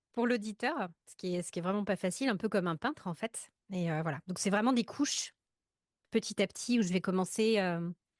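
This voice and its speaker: The sound is dry and close, with no echo and a quiet background. Speech moves at a fairly quick pace with ordinary pitch variation. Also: woman, medium pitch for a woman. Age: 40s. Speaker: writer and podcast storyteller. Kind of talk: interview conversation. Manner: halting, many hesitations.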